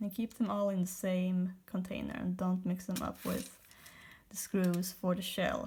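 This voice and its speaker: A woman with a non-native accent speaks at a medium pitch, fairly slowly, with monotone, flat intonation. Her tone is dark, mellow and somewhat breathy, on a very clean recording with a silent background. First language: not English. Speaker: toy repair video maker. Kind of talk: tutorial. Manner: casual, with self-corrections.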